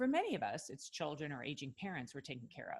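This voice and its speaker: With a slight New York accent, a woman speaks at a very deep, low pitch marked by very wide pitch swings. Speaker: podcast host, physician. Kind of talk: scripted guest introduction.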